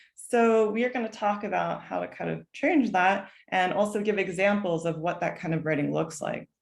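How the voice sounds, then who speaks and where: With vocal fry and ordinary pitch variation, the voice runs on with hardly any pauses. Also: woman, medium pitch for a woman. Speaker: college admissions advisor. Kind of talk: online workshop presentation. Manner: fast.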